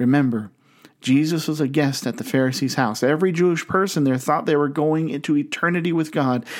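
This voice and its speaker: A man with an American accent speaks at a fairly quick pace in a fairly high pitch. His loudness stays very even and his pitch varies in an ordinary way. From US Midwest, Canton, Ohio. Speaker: pastor. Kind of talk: sermon.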